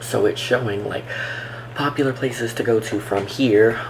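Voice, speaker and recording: A soft-spoken man talks with fairly even intonation over noticeable background noise. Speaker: travel vlogger. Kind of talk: tutorial. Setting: home, recording at computer. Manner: soft-spoken, talking low; casual, filler-heavy.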